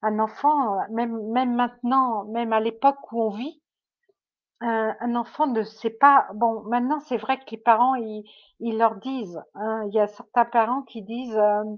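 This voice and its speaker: A woman speaks fairly slowly at a fairly high pitch. Her intonation stays fairly even while her loudness swings widely. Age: 60s. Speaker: medium. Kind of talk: livestream monologue. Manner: halting.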